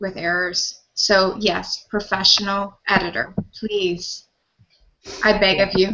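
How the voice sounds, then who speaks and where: A woman at medium pitch speaks in a monotone, flat intonation. Her pace is very slow. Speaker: author. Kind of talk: casual chat.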